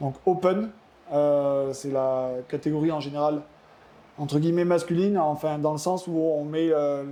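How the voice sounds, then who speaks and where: Against noticeable background noise, a man with a fairly high pitch and fairly even intonation speaks at a fairly slow pace. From France, Cantal (southern Auvergne). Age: 30s. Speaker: ultimate frisbee athlete. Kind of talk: podcast interview. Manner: hesitant, many fillers.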